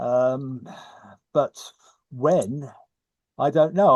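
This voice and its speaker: This is a man with an English accent. His pitch is fairly high. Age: 70s. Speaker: society historian and board member. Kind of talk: online Q&A discussion.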